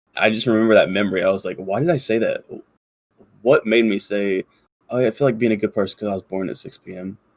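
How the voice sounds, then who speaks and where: A man with a fairly low voice talks at a very fast pace with big swings in loudness, recorded with a dry, close sound with no echo. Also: ordinary pitch variation. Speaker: podcast co-host. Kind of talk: casual chat. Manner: many filler words.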